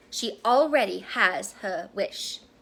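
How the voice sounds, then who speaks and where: Here a woman performs a put-on character voice. Her pitch is fairly high. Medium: read story. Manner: terse.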